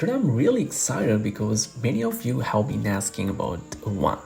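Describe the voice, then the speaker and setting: A man with a non-native accent, set against noticeable background noise. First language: not English. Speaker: English teacher. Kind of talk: tutorial. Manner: casual, encouraging.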